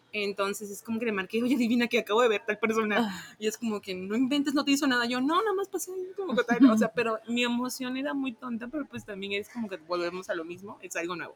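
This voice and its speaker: A woman's fairly high voice at a very fast pace with lively intonation and hardly any pauses, over noticeable background noise. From Tabasco, Mexico. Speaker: sales coordinator. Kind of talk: casual interview.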